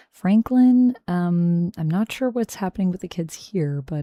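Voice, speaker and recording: A woman speaks fairly slowly and fairly low, in a relaxed, dark, mellow tone. The sound is dry and close with no echo, on a very clean recording with a silent background. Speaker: ASMR creator and livestreamer. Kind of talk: casual livestream talk to camera, reading comics aloud. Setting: livestream at home, reading chat messages aloud. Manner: soft-spoken, relaxed, chatty.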